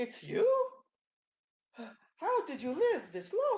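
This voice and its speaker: This squeaky, put-on character voice has an extremely high pitch. The delivery comes at a very slow pace. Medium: actual play.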